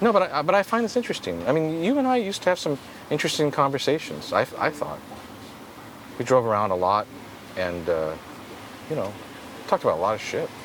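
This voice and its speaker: A man speaks very fast yet with long, frequent pauses, over noticeable background noise. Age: 50s. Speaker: podcast host and skateboarding photographer. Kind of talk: casual chat. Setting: in-person conversation.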